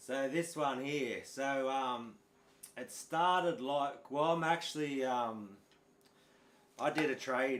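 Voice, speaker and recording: A man with a strong Australian accent and a fairly high pitch. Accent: broad Australian. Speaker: guitar teacher. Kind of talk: live stream chat. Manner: casual, halting.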